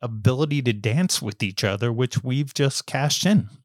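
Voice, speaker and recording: Recorded very cleanly against a silent background with a dry, close sound and no echo, a man with an American accent and an unremarkable speaking voice talks at a moderate pace and medium pitch with ordinary pitch variation. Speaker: journalist and author. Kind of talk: podcast interview.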